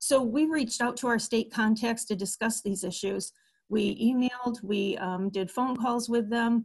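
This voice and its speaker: A woman with an ordinary speaking voice and a fairly high pitch talks at a moderate pace, keeping her intonation fairly even. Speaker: long-term care ombudsman. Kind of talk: webinar presentation.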